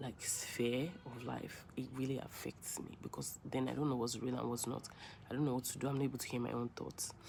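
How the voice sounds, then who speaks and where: With a Nigerian accent, a woman speaks at a very deep, low pitch in a monotone, flat intonation. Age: 20s. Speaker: vlogger. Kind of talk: personal vlog monologue. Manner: rambling, hesitant.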